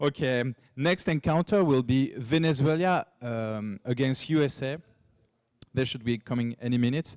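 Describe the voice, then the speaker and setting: A man with a French accent speaks at a medium pitch with ordinary pitch variation. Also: moderate pace, dry, close sound with no echo. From France. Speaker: esports caster. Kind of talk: casual chat.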